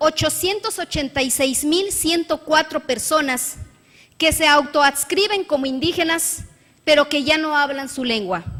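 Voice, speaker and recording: This woman's bright, sharp voice sits high, moving at a fairly slow pace with lively intonation. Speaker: state legislator. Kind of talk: parliamentary speech. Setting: legislative chamber. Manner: formal.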